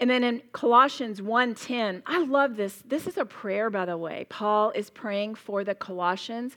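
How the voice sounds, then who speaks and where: A woman speaks fairly slowly in a Southern US accent, her pitch fairly high. Her tone is animated, with ordinary pitch variation. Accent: US South. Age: 60s. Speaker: Bible teacher. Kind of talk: sermon. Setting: stage with audience.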